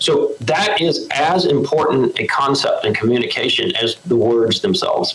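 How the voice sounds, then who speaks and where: A man with a Southern US accent at a moderate pace, with hardly any pauses, very even loudness, and noticeable background noise. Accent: Southern twang. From North Carolina. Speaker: hurricane center official. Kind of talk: interview.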